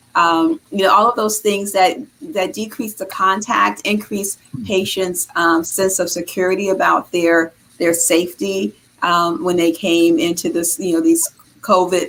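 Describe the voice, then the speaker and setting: A woman at a medium pitch with a Boston accent, moderate pace and ordinary pitch variation, over noticeable background noise. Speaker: health care executive. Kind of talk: interview.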